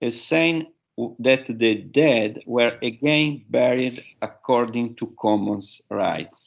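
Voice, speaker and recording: This man has a medium-pitched voice with an Italian accent. He speaks at a very slow pace. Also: ordinary pitch variation. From Italy. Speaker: professor. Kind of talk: conference talk. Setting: webinar. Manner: halting.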